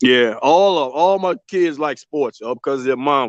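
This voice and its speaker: A man speaks in an unremarkable speaking voice at a moderate pace with ordinary pitch variation. The sound is dry and close, with no echo. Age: 50s. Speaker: caller, father of co-host. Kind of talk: casual chat.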